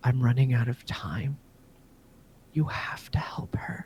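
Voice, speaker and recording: A man whispers in a put-on character voice. His pace is fairly slow. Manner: whispering, urgent.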